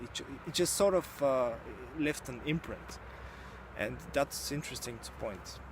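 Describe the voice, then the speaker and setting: Speaking in a Bulgarian accent, a man moves at a fairly slow pace, with long, frequent pauses. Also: big swings in loudness. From Bulgaria, rural village. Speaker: YouTuber, book reviewer. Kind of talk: book review monologue. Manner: halting, many fillers.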